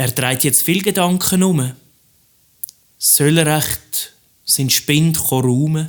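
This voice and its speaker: In a Swiss German accent, a man speaks at a very slow pace with a fairly high pitch, ordinary pitch variation, and long, frequent pauses. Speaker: cabaret artist; teacher. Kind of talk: rhymed cabaret stage monologue. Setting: live stage recording.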